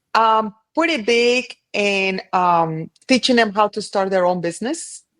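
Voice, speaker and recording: A woman's medium-pitched voice with a Colombian accent, lively intonation and a fairly slow pace, in a dry, close sound with no echo. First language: Spanish. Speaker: cleaning business owner. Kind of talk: casual interview chat.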